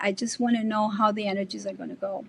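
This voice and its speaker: Speaking at a fairly quick pace, a woman talks with a Spanish accent. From Colombia. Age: 60s. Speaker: artist and bitcoin advocate. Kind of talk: podcast interview. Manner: animated.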